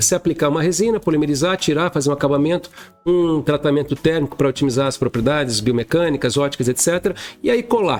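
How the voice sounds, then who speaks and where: Speaking at a very fast pace, a man uses lively intonation and keeps his loudness very even. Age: 60s. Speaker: dentist and educator. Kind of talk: interview conversation.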